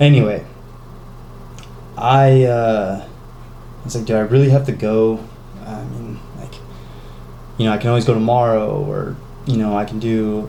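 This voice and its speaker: Loudness swings widely as a man speaks with fairly even intonation and long, frequent pauses. Noticeable background noise and audible room echo are present. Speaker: fitness vlogger. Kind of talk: casual vlog talk. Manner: halting, stuttering; rambling, filler-heavy.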